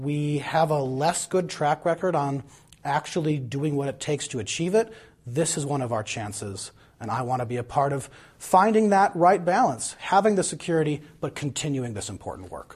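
With an American accent, a man speaks at a moderate pace, somewhat breathy and with lively intonation. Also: fairly high pitch for a man. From Madison, Wisconsin. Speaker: political candidate. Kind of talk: candidate interview.

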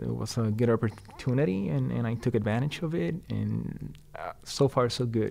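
Speaking at a moderate pace with hardly any pauses, a man talks with a Puerto Rican accent. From Puerto Rico. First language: Spanish. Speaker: street design engineer. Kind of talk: interview, casual conversation. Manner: halting, hesitant with fillers.

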